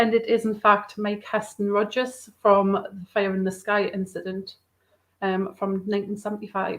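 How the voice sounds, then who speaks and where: Her pace is moderate and her pitch is medium. This woman's intonation stays monotone and flat. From northeast England. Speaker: podcast co-host. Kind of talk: interview.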